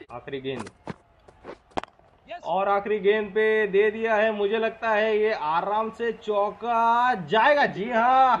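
Noticeable background noise runs under a man whose high-pitched voice shows ordinary pitch variation. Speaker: gamer doing live match commentary for a cricket video game. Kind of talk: excited sports commentary.

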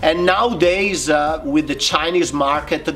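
Someone speaks with an Italian accent at a fairly slow pace, keeping the intonation fairly even. There is light background noise behind the voice. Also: man. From Italy. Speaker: bonsai artist; interviewee. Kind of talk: interview. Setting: video call. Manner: hesitant, frequent fillers. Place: garden.

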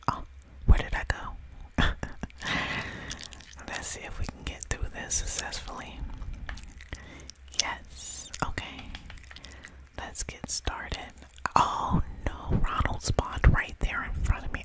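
A whisper at a very slow pace, with long pauses coming often. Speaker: gamer. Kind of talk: casual gameplay commentary, ASMR gaming. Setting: home recording while playing a video game. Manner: casual, excited, chatty.

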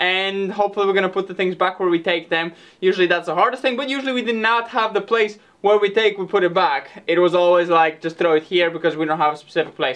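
A man speaks at a very fast pace in a high voice. His pitch varies an ordinary amount. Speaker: farm renovation vlogger. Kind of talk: casual vlog chat. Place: workshop. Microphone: camera far.

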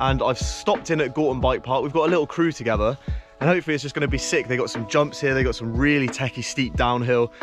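Clear music plays in the background of a dry recording with no echo. The pace is very fast, with ordinary pitch variation. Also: man. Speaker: mountain bike vlogger. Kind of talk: casual vlog chat. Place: forest. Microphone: phone near.

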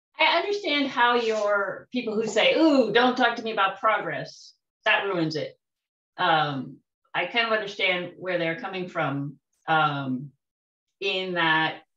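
The voice has a bright, sharp tone and very wide pitch swings at a fairly slow pace. Audible room echo sits over a quiet background. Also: woman, medium pitch for a woman. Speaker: tai chi student. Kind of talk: casual group discussion. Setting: video call. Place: home room. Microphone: video call.

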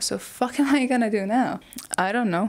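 A woman with a non-native accent, high in pitch, with lively intonation at a moderate pace. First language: not English. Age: 20s. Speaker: YouTuber. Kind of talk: video essay monologue. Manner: casual, self-deprecating. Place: home room. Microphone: lapel.

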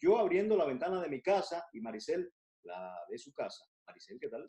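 Lively in intonation, a man speaks at a high pitch. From Cuba. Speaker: TV show co-host. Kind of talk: casual chat. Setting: at home. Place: home room. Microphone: video call.

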